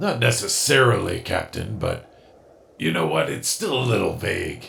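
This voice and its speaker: A raspy, cartoonish character voice from a man at medium pitch. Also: moderate pace. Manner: dry, clipped.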